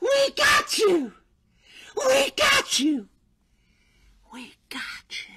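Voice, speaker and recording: In a put-on character voice pitched extremely high, the shrill speaker goes at a very slow pace with long, frequent pauses. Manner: gleeful, taunting.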